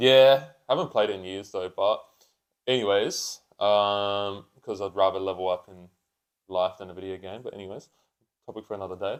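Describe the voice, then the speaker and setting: Long, frequent pauses at a moderate pace, with fairly even intonation and big swings in loudness. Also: man, fairly low pitch for a man. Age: 20s. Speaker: vertical jump coach and podcast co-host. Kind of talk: casual chat.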